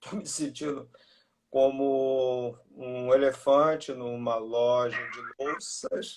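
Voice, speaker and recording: Intonation holds fairly even. The man's voice sits fairly high in pitch. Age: 60s. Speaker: breast milk bank expert. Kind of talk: interview. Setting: video call.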